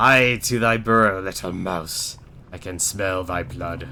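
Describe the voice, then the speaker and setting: Against clear background noise, a man puts on a booming character voice with a very deep, low pitch and a fairly slow pace. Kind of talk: archaic. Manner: menacing.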